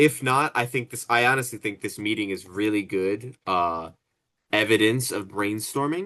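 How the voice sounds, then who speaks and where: Over a quiet background, a man speaks at a moderate pace in a bright, sharp tone with ordinary pitch variation. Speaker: student. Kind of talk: group project meeting. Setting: video call. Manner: hesitant, many fillers; mumbling while rereading.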